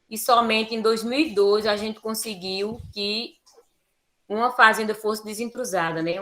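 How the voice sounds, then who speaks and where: At a fairly slow pace, a woman speaks in a bright, sharp tone. Her pitch is medium. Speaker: teacher and quilombola educator. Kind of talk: lecture presentation.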